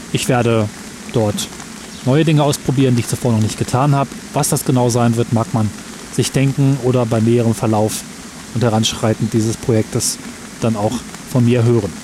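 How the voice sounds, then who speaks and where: A man's medium-pitched voice at very even loudness, with long, frequent pauses and music in the background. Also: fairly even intonation. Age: 30s. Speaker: podcaster. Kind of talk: personal monologue recorded outdoors. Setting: outdoors in a park by a waterfall, under an umbrella.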